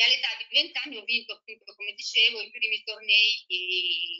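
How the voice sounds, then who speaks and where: A woman speaks against a quiet background. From Italy. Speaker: former professional tennis player. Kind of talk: casual interview. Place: home room. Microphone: video call.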